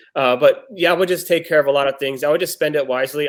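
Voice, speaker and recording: A man speaks with a Texan accent. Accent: Texan American English. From Texas. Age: 30s. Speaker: blind date contestant. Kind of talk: casual chat.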